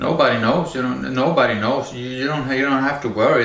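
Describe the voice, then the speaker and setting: A man talks with a Norwegian accent. Audible room echo and noticeable background noise are present. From Norway. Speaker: video blogger. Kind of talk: monologue rant. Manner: halting.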